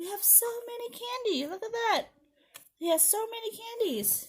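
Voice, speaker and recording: Squeaky and extremely high-pitched, a woman's put-on character voice moves at a moderate pace. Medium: read story. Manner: fearful.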